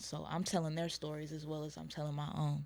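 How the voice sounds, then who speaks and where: Quiet and fairly quick, a woman with an American accent speaks over music in the background. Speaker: rapper. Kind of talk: casual interview.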